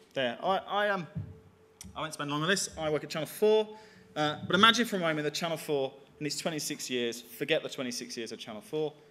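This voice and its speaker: Talking at a very fast pace, a man with a Birmingham accent has a fairly high pitch and lively intonation. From England, Birmingham. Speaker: digital media executive. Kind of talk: conference talk.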